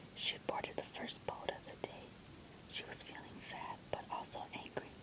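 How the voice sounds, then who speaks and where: Against noticeable background noise, a person whispers fairly slowly. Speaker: ASMR book reader. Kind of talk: relaxation book reading. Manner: whispered.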